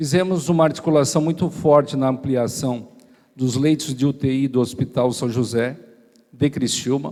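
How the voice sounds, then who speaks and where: Fairly even in intonation, a man's dark, mellow tone moves at a moderate pace. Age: 40s. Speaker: mayoral candidate, state deputy. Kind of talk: campaign speech at church debate. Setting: church event with live audience.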